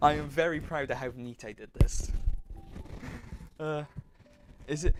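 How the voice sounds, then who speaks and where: In a British accent, a man talks at a fairly high pitch. His intonation is lively. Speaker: livestreamer and student. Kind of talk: casual livestream commentary while working. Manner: slurred speech; halting, many fillers and restarts.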